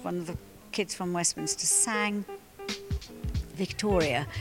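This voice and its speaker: A woman talks at a fairly slow pace while music plays behind her. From Wales. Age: 60s. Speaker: charity chair. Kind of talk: interview. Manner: halting.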